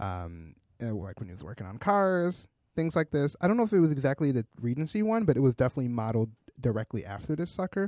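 A man with an American accent is speaking. His pitch swings very widely. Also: dry, close sound with no echo, very clean recording, silent background. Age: 20s. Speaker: podcast co-host, designer and developer. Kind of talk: casual chat.

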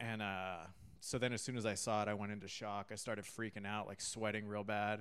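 A man with a Californian accent and a fairly low pitch. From California, San Diego and Catalina Island. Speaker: stand-up comedian. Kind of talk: casual chat.

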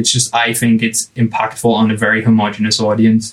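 Noticeable background noise sits behind the voice. The man speaks at a medium pitch. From England. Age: 20s. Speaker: product designer. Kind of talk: casual chat.

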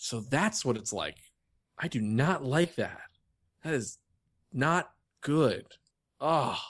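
With an American accent and lively intonation, a man talks at a very slow pace in a fairly high pitch, taking long, frequent pauses over a quiet background. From New York. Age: 30s. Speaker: podcast co-host. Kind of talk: casual chat. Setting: video call.

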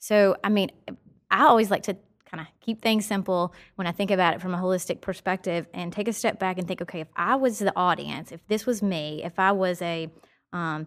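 A woman speaks at a medium pitch and a fairly quick pace with a slight Southern US accent. Her pitch varies in an ordinary way, and the recording is very clean with a silent background. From Nashville, Tennessee; US South. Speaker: marketing professional. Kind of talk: casual conversational interview. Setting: studio podcast. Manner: upbeat, enthusiastic.

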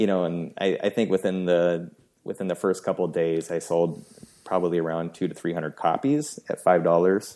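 In a very clean recording with a silent background, a man with an American accent talks in a very deep, low pitch. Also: ordinary pitch variation, fairly quick pace. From US Pacific Northwest, Seattle. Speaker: WordPress theme designer and entrepreneur. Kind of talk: casual chat.

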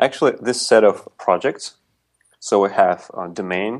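A man speaks with a Russian accent. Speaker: podcast co-host. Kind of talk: casual technical discussion. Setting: remote call.

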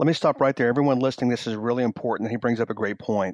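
A man talks at a medium pitch and a very fast pace. The sound is dry and close, with no echo. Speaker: sales trainer. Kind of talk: interview. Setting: phone call. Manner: mirroring pace, faster.

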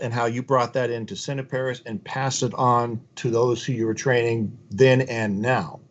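This is a normal speaking voice delivered at a moderate pace. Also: man. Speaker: podcast host. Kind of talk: interview, scripted intro. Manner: formal, polished.

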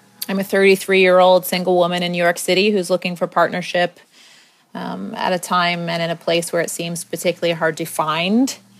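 Fairly low female voice, flat and monotone, at a fairly quick pace. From US, Maryland. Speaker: podcast host. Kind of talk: personal monologue. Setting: home apartment, not studio.

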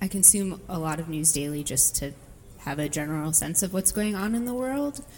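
The speech moves at a moderate pace. It is an ordinary speaking voice. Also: woman. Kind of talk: interview answers.

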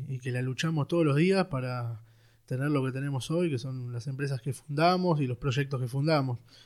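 A man with ordinary pitch variation, in a very clean recording with a silent background. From Buenos Aires, Argentina (Villa Devoto). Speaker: security company founder. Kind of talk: casual interview. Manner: halting, many fillers.

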